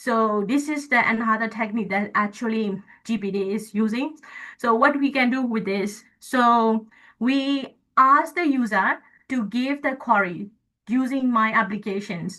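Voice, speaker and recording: With a Burmese accent, a woman speaks in a bright, sharp tone at a fairly high pitch and a fairly slow pace. Her pitch varies in an ordinary way against a quiet background. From Myanmar. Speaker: guest lecturer, AI engineer. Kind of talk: lecture. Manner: halting.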